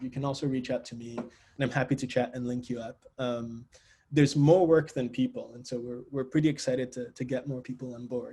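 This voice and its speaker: Speaking very fast, a man with a dark, mellow, somewhat breathy voice keeps a medium pitch and fairly even intonation. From Nigeria (Lagos). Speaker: engineering researcher, assistant professor. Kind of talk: academic seminar talk.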